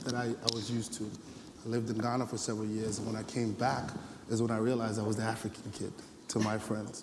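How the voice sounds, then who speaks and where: A man's medium-pitched, monotone voice with an American accent at a very fast pace, flat intonation throughout, audible room echo and noticeable background noise. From US Northeast, the Bronx, New York. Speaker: panelist at youth forum. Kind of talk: panel discussion.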